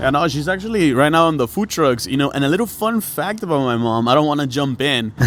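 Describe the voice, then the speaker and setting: A man with a slight Mexican accent talks very fast with hardly any pauses, fairly high pitch and lively intonation, over noticeable background noise. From northern Mexico, Piedras Negras. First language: Spanish. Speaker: food truck owner and DJ. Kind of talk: casual podcast chat.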